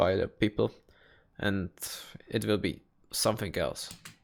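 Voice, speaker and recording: A man with a Czech accent and fairly even intonation, on a very clean recording with a silent background. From Czech Republic. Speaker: YouTuber reacting to videos. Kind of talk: casual reaction commentary. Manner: halting.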